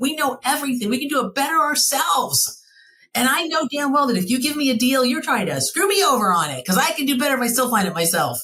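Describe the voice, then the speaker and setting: A high-pitched woman with an American accent speaks at a very fast pace in a raised, projected voice. Her tone is animated and her intonation lively. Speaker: travel franchise owner. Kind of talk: podcast interview.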